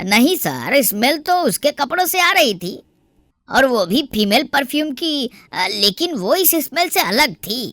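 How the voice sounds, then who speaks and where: A high-pitched, female-sounding cartoonish character voice delivers the lines. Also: moderate pace. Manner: deferential.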